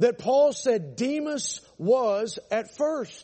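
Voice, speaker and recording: The voice is loud, with lively intonation. It moves at a very slow pace. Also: man. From Atlanta, Georgia, US South. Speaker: pastor. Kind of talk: sermon. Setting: church. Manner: animated.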